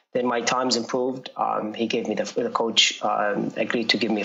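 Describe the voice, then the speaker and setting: With flat, monotone intonation and a medium pitch, a man's fairly quick speech comes through noticeable background noise. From Jordan. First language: Arabic. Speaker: runner. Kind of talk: interview. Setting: podcast. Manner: halting, many fillers.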